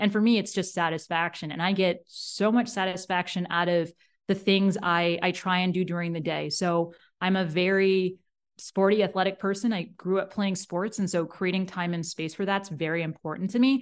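A woman's plain, everyday voice at a moderate pace, fairly even intonation, quiet background. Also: medium pitch for a woman. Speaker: leadership coach. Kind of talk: interview conversation. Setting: remote call.

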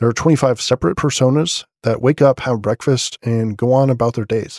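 Quiet and at a fairly quick pace, a man speaks in a dry, close sound with no echo. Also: very clean recording, silent background. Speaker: podcast host. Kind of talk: news roundup podcast. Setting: at home late at night. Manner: quiet, subdued.

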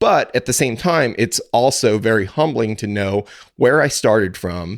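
A man with a Midwestern American accent. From rural Missouri, US. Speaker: podcaster and cattle farmer, pharmacist. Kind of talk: interview.

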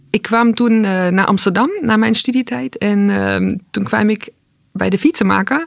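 A woman's ordinary speaking voice at medium pitch and moderate pace, on a very clean recording with a silent background. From East Germany. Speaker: food entrepreneur. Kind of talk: interview.

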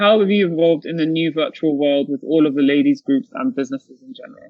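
Here is a woman with a normal speaking voice, pitched fairly low. Her intonation is lively. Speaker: podcast co-host and panel facilitator. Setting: video call.

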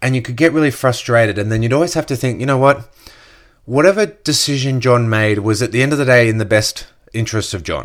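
This man talks at a very fast pace with an Australian accent. His pitch is medium, with ordinary variation. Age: 30s. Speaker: podcast host, network marketer. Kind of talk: casual solo podcast monologue.

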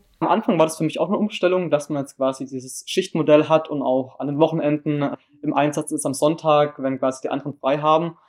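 In a plain, everyday voice, a man talks at a fairly quick pace with hardly any pauses. His pitch is fairly high and his intonation fairly even. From southern Germany, Baden near Freiburg. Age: young. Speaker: volunteer at a seamen's club. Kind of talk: interview. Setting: on location at a seamen's club.

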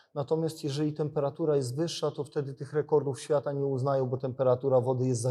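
A man's fairly high, somewhat breathy voice with a dark, mellow tone, very fast pace and fairly even intonation against a quiet background. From Poland, Biała Podlaska. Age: 40s. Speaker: winter swimmer and sports scientist. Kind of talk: casual interview. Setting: university sports facility. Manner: repetitive, halting.

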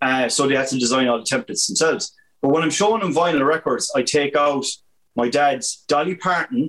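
A man's fairly high voice in a Limerick accent, very even in loudness, with ordinary pitch variation. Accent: Irish (Limerick). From Ireland, County Limerick. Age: 40s. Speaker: graphic artist and college lecturer. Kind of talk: casual chat.

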